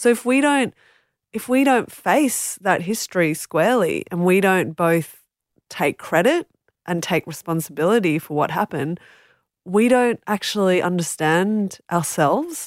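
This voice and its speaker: A woman with an Australian accent and medium pitch speaks at a fairly slow pace with lively intonation, in a very clean recording with a silent background and a dry, close sound with no echo. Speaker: author and journalist. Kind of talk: interview. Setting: studio.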